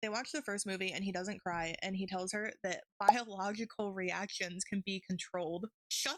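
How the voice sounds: Fairly even intonation in a natural reading voice, against a quiet background.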